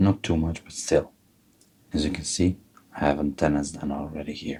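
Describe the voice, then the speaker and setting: A man with a very deep, low pitch and a dark, mellow tone talks at a moderate pace, somewhat breathy, with fairly even intonation and big swings in loudness. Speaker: fly tyer. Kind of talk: tutorial.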